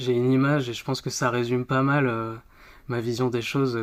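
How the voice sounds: A man speaks at a medium pitch with a clear, smooth tone. There is little pitch movement.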